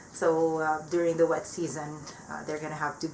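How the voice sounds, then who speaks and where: A woman with a non-native accent and a fairly low pitch talks at a moderate pace over noticeable background noise. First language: not English. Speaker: plant hobbyist vlogger. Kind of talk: casual vlog update. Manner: hesitant, many fillers.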